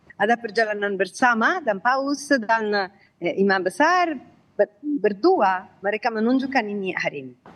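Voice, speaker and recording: Using an Italian accent, a woman with a fairly high pitch talks at a moderate pace with very wide pitch swings. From Italy. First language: Italian (speaking Indonesian). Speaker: commentator on interfaith dialogue. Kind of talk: live TV interview. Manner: halting.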